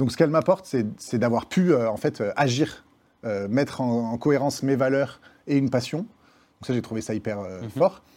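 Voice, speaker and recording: In a very clean recording with a silent background, a man with a medium pitch and a dark, mellow tone speaks with lively intonation. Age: 30s. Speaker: nonprofit founder. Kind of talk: interview.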